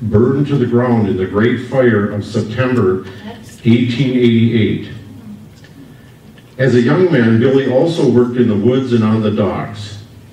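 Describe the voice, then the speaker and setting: In an Upper Midwest US accent, a man speaks at a moderate pace with a medium pitch and ordinary variation. Noticeable background noise and audible room echo surround his voice. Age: 70s. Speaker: local business owner and family historian. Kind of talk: public history presentation. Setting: stage with audience at history festival.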